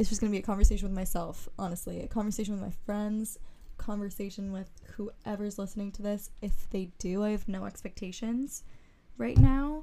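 In a room with audible echo, a woman talks fairly quickly in a dark, mellow tone, her loudness swinging widely. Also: medium pitch for a woman, ordinary pitch variation. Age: 20s. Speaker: podcast host. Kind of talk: casual monologue.

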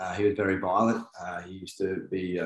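A somewhat breathy voice with a New Zealand accent keeps its intonation fairly even. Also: man. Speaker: men's work coach. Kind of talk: casual interview.

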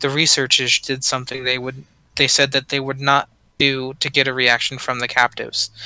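A man's fairly high voice at a moderate pace. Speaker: podcast host. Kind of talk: ghost story telling, reading creepy accounts aloud. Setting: call.

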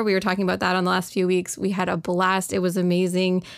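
Here a woman talks with a Canadian accent. Her pitch sits in the medium range. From Canada. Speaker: discussion moderator. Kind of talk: casual chat. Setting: live online audio room.

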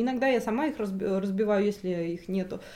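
A woman's lively intonation at a moderate pace. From Russia. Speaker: translator and journalist. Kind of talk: interview. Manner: hesitant, many fillers.

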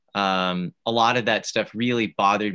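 On a very clean recording with a silent background, a man with a fairly low pitch and a bright, sharp tone speaks at a moderate pace. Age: 30s. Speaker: activist. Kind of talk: interview. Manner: halting.

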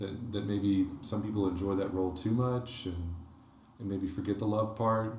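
With audible room echo, a man speaks at a moderate pace in a fairly low, somewhat breathy voice with fairly even intonation. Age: 30s. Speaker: electrical engineer and church small-group co-leader. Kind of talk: casual interview about faith.

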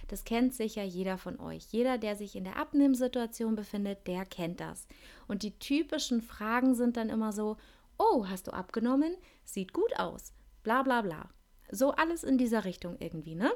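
A woman's plain, everyday voice, fairly high in pitch, with lively intonation and a moderate pace, in a very clean recording over a silent background. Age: 30s. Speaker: podcast host. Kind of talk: solo monologue podcast. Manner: casual, chatty.

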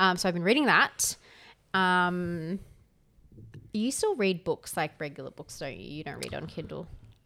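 A woman with an Australian accent speaks at a moderate pace in a fairly low, bright, sharp voice with ordinary pitch variation. Her loudness swings widely, with long, frequent pauses, on a very clean recording with a silent background. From Canberra, Australia. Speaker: podcast co-host. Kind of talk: casual chat.

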